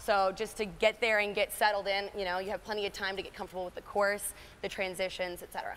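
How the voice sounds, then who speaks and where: A woman speaks very fast in a flat monotone over light background noise. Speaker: endurance coach. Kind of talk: interview answer. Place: gym. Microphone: lapel.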